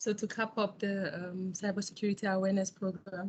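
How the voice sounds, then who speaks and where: Somewhat breathy and medium in pitch, a woman speaks at a moderate pace with monotone, flat intonation. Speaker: government cybersecurity official. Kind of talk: presentation.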